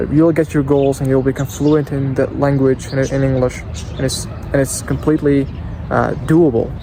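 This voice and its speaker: The speaker has a non-native accent and a flat, monotone delivery at a moderate pace. Background noise is noticeable. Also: man, fairly high pitch for a man. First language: not English. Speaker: English teacher vlogger. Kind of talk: casual vlog. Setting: outdoors.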